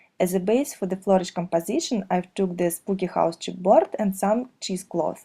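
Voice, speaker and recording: This woman has a dark, mellow tone that is somewhat breathy, with ordinary pitch variation and a moderate pace. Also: medium pitch for a woman, hardly any pauses. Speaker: craft video maker. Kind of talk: tutorial.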